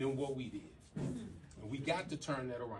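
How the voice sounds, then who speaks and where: A man's fairly high voice with an American accent, with audible room echo. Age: 60s. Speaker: real estate broker. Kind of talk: seminar talk.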